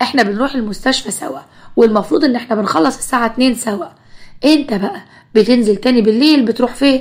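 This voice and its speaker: Speaking at a fairly quick pace, a woman with an Egyptian accent has a high pitch and ordinary pitch variation. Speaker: storyteller. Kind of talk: first-person story narration.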